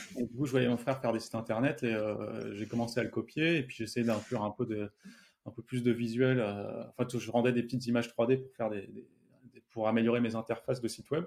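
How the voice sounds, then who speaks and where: A man talks at a very fast pace. His loudness swings a lot. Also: medium pitch for a man. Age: 30s. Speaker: software developer and startup founder. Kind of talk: interview.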